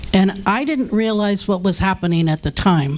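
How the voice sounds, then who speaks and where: Over noticeable background noise, a woman with a medium pitch and lively intonation talks at a moderate pace. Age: 60s. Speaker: drug and alcohol counselor. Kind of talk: testimony. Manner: halting.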